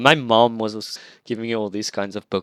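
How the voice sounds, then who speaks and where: In a dry, close sound with no echo and a very clean, silent background, a man with an Afrikaans accent speaks at a moderate pace. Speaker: team coach and improv teacher. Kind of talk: casual interview chat.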